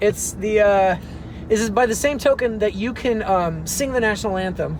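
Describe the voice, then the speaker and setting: A high-pitched man at a moderate pace with ordinary pitch variation, over noticeable background noise. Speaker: actor and professor. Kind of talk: casual chat. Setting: in a car.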